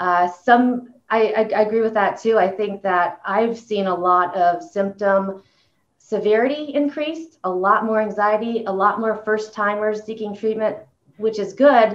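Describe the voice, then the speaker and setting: A woman speaks at a fairly high pitch. Her pace is fairly slow, with ordinary pitch variation. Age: 40s. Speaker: clinical director and panel moderator. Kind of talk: moderated panel discussion. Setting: video call. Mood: calm, conversational. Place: office. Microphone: video call.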